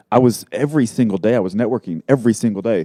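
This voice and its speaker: A man talks fairly quickly with a slight Texas accent, at medium pitch with ordinary pitch variation. His tone is dark and mellow, and the sound is dry and close with no echo. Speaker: marketing entrepreneur. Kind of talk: casual interview.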